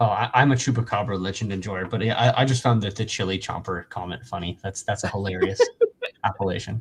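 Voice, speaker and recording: Talking at a very fast pace, a man with an American accent keeps a fairly low pitch. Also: ordinary pitch variation. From American West Coast.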